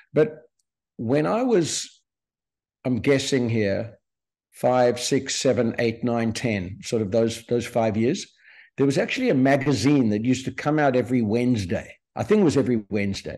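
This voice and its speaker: Against a quiet background, a man talks at medium pitch and a moderate pace. His tone is dark and mellow, with ordinary pitch variation. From South Africa, Cape Town (Sea Point). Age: 60s. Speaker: entrepreneur. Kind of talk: podcast interview. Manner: hesitant, many fillers and repetitions.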